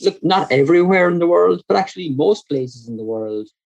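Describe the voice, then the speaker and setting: A man with a Kerry accent and lively intonation. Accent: Kerry Irish. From Ireland, County Kerry. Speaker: energy and climate researcher. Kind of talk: podcast interview. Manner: frequent repetitions and fillers.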